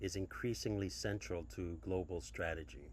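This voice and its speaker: At a fairly slow pace, a man speaks with a very deep, low pitch, vocal fry and very wide pitch swings. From Micronesia (Chuuk). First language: Chuukese. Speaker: academic researcher. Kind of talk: conference talk. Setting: pre-recorded video. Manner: formal; hesitant.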